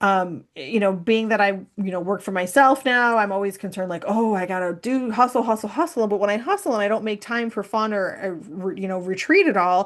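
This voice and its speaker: Delivered at a fairly quick pace, the speech has ordinary pitch variation and hardly any pauses. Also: woman, medium pitch for a woman. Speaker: human design consultant and workshop presenter. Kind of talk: workshop presentation. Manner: fast; animated.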